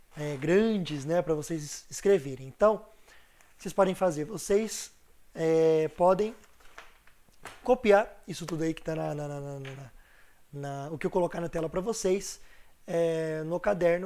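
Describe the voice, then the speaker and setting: A man's dark, mellow voice, high in pitch, at a fairly slow pace with long, frequent pauses, ordinary pitch variation and big swings in loudness. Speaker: teacher. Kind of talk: online class lecture. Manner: casual, chatty.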